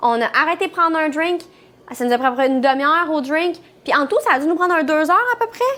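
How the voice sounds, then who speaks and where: Extremely high-pitched, a woman talks at a very fast pace with lively intonation and very even loudness. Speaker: travel vlogger. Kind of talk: casual chat.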